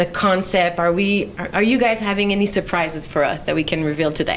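A woman speaks in a Quebec accent. Light background noise can be heard. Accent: Québécois French accent in English. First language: French. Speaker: public relations manager hosting a live Q&A. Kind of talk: casual live interview. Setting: creation room, live stream. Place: meeting room. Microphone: handheld.

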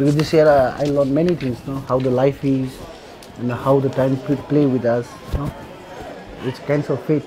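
A man speaks in a monotone with flat intonation and a Nepali accent. His long, frequent pauses sit over noticeable background noise. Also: moderate pace. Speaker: earthquake survivor. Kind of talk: documentary interview.

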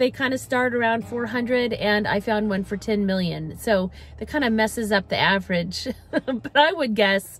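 At a fairly slow pace, a woman speaks over faint background music, the sound dry with no echo. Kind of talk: neighborhood tour commentary. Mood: warm, upbeat. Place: car. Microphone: phone near.

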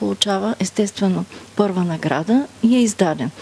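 A woman speaks with ordinary pitch variation. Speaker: speaker. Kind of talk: interview answer. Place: hall. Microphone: handheld.

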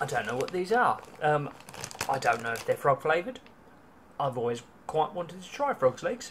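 A man's voice at a moderate pace, with big swings in loudness and light background noise. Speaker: vlogger. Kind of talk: casual vlog chat. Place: home room. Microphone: phone near.

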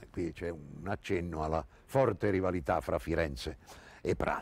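In a dry recording with no echo, a man with a very deep, low pitch and vocal fry talks at a moderate pace, his intonation lively and his loudness swinging widely. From Italy. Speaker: actor. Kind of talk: literary introduction and commentary. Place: garden. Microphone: lapel.

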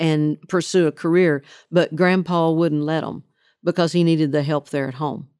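With a Southern accent, a woman speaks at a moderate pace in a fairly low voice with a dark, mellow tone, on a very clean recording with a silent background. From Oklahoma. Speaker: country singer. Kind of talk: interview answer.

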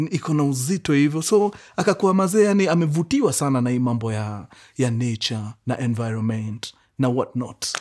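With a quiet background, a man's voice swings very widely in pitch while he keeps a moderate pace. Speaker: storyteller host. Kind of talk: storytelling narration in Swahili-English mix. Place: home room.

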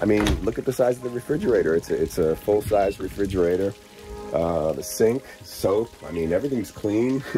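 Music plays in the background behind a man with a fairly low pitch. He talks at a fairly quick pace with lively intonation. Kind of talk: casual talk to camera, touring.

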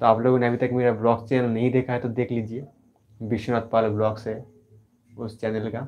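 With long, frequent pauses, a man speaks at a moderate pace in a monotone, flat intonation. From West Bengal, India. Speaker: art YouTuber, painter; art YouTuber. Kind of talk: live stream Q&A. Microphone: mic was faulty, may sound poor; lapel.

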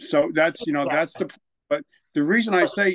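Against a quiet background, a man with a New Jersey accent speaks in a fairly high pitch with lively intonation. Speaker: military veteran and author; podcast guest. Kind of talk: testimony. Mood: reflective, candid. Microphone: studio mic.

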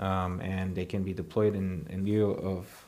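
Here is a man with a Romanian accent. His pitch sits fairly low. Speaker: energy company CEO; panelist. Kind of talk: prepared speech and panel discussion. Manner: hesitant, many fillers. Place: stage.

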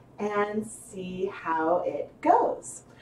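Noticeable background noise fills the recording. A woman talks over it. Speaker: fiber arts livestream host. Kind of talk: live tutorial. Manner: casual, chatty with fillers.

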